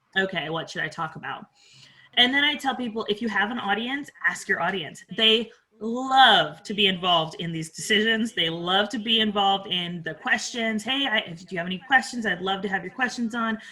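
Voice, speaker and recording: Over noticeable background noise, a woman talks at a moderate pace and medium pitch with ordinary pitch variation. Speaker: podcast coach. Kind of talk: interview.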